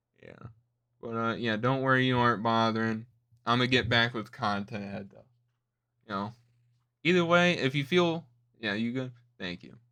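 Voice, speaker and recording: A man with a medium-pitched, bright, sharp tone speaks at a moderate pace with ordinary pitch variation, long, frequent pauses and big swings in loudness. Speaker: streamer reacting to videos. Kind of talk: casual livestream chat. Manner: stuttering, trailing off.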